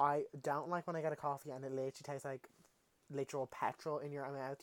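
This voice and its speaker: A man with an Irish accent talks at a very fast pace in a fairly high pitch, the sound dry and close with no echo. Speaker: podcast host. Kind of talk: casual monologue. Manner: animated.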